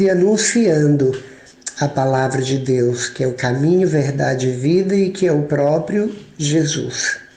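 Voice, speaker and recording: There is audible room echo and noticeable background noise as a man speaks at a fairly high pitch and fairly slow pace, with ordinary pitch variation. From Minas Gerais, Brazil. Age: 60s. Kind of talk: sermon.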